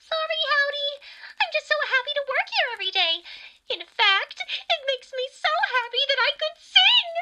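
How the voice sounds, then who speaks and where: This is a cartoonish character voice at a moderate pace. Its tone is upbeat and bubbly. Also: female-sounding voice, extremely high pitch for a woman. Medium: puppet. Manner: upbeat, bubbly.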